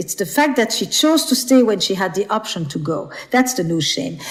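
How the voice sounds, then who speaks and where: Her pitch is fairly high and swings very widely. The woman keeps a moderate pace. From Flemish Belgium. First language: Flemish (Dutch). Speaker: author and relationship expert. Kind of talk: podcast interview.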